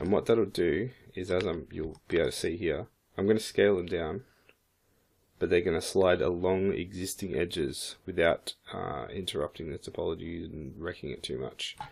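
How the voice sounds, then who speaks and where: A man with a very deep, low voice and vocal fry speaks at a moderate pace with ordinary pitch variation. The recording is very clean, the background silent. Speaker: 3D modeling instructor. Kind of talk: tutorial. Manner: hesitant, many fillers.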